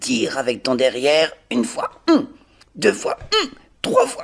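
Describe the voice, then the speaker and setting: A man adopts a put-on character voice, raspy and delivered at a moderate pace. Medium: read story. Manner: calm, reassuring.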